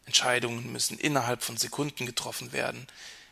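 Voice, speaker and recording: A man with vocal fry talks at a fairly quick pace, his tone bright and sharp and his pitch medium. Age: 30s. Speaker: podcast host. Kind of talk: reflective monologue.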